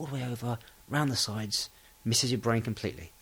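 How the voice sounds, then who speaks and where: This man talks at a fairly quick pace with an English accent. His voice is somewhat breathy. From England. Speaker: podcast host for English learners. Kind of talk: casual monologue. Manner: relaxed, hesitant with fillers.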